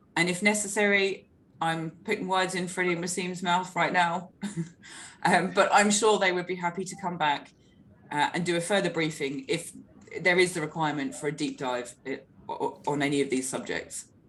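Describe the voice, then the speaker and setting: A woman talks at a moderate pace in an unremarkable speaking voice. Her pitch sits fairly low, with ordinary pitch variation. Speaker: market briefing host. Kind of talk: webinar moderation.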